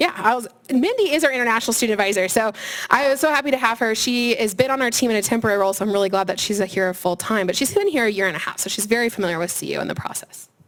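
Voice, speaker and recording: A woman's fairly high voice at a very fast pace with lively intonation, over noticeable background noise. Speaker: career services staff presenter. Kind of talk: seminar presentation. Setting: room with student audience.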